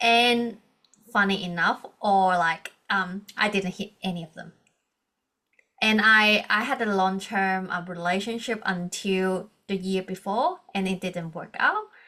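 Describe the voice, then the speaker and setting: A woman with a Hong Kong accent, a medium pitch and a bright, sharp tone, at a fairly slow pace with fairly even intonation. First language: Cantonese. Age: 30s. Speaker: coach and organizational psychologist. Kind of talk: podcast interview.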